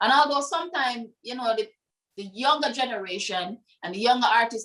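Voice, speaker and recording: Woman with a Jamaican accent, fairly quick in pace, with ordinary pitch variation. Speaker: dancehall artist. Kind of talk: interview conversation.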